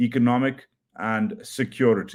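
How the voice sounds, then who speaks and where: Someone speaks at a fairly slow pace with a Pakistani accent. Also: man. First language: Urdu. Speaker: journalist. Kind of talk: news commentary livestream. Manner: hesitant, many fillers.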